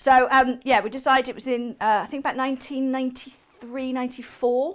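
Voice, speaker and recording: Speaking with a slight West Country accent, a high-pitched woman talks at a fairly quick pace in a monotone, flat intonation with big swings in loudness. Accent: slight West Country lilt. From England, Somerset (Shepton Mallet). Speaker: guest quilt designer. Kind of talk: casual chat during craft demo.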